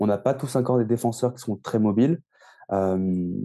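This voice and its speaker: Dark and mellow in tone, a man's voice sits at medium pitch with fairly even intonation. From France. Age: 20s. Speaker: ice hockey coach. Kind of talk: interview. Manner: halting.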